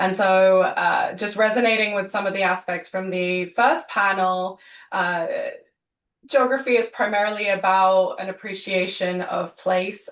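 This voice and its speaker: A woman with a British accent, medium pitch, fairly slow pace and fairly even intonation. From UK. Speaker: government energy official. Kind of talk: webinar panel introduction. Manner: halting, many fillers.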